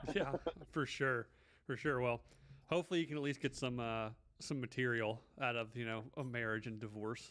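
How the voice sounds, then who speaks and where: A man speaks in a normal speaking voice at medium pitch. His pace is moderate, with ordinary pitch variation. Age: 30s. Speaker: podcast host. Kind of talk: casual chat.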